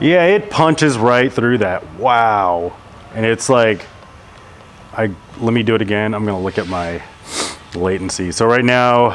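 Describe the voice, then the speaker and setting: Amid noticeable background noise, a man speaks at a fairly slow pace in a medium pitch. Long, frequent pauses break up his words. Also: ordinary pitch variation. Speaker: drone pilot vlogger. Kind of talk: casual vlog commentary while flying. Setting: outdoors in a park. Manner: hesitant with repeated words; animated.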